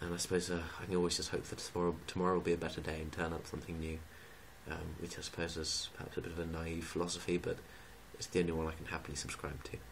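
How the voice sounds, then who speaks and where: A man talks at a very fast pace with a very deep, low pitch. He is quiet, and his intonation is monotone and flat. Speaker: student vlogger. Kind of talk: casual vlog rant. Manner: quiet, kept low.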